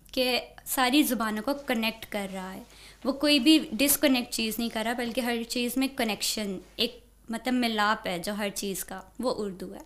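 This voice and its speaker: A woman at a fairly high pitch, fairly slow in pace, with ordinary pitch variation. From Pakistan, Punjab (Lahore, Okara); Punjab, Pakistan. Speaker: university student; interviewee. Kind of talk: interview. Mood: calm, warm. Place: studio. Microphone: studio mic.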